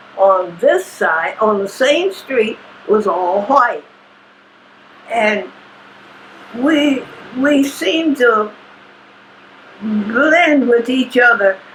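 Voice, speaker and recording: A woman speaks very slowly in a fairly high pitch, her voice making very wide pitch swings. Noticeable background noise sits behind her. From Kentucky. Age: 80s+. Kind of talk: interview answer.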